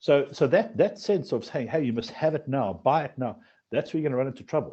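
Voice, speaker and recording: Somewhat breathy, the voice moves at a very fast pace. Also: man. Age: 40s. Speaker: financial advisory firm founder. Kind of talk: podcast interview. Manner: repetitive, halting restarts.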